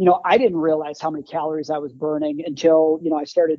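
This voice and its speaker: Speaking at a very fast pace, a man uses a fairly high pitch with an Upper Midwest US accent. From Wisconsin, Green Bay. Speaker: former combat medic, first aid kit maker. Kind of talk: casual interview.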